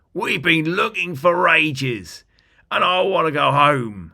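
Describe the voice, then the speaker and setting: A put-on character voice, raspy and squeaky, raised and projected at a fairly slow pace. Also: man, fairly high pitch for a man. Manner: whiny, wants to go home.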